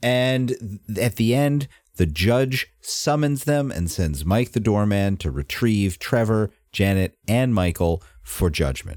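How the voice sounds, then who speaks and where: A man talks at a very slow pace and fairly low pitch with lively intonation, the sound dry and close with no echo. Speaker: podcast host. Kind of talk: casual chat.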